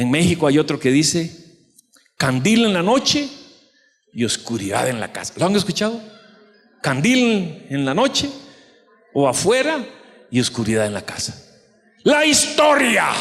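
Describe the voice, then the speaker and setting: This man's voice sits high and swings very widely in pitch. He leaves long, frequent pauses. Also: fairly slow pace. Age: 60s. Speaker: pastor. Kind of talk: sermon.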